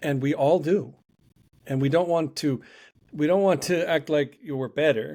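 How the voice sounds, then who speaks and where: With a very clean recording and silent background, a man speaks in a dark, mellow, fairly high voice at a moderate pace with long, frequent pauses. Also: ordinary pitch variation. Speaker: life coach and podcast host. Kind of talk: podcast conversation.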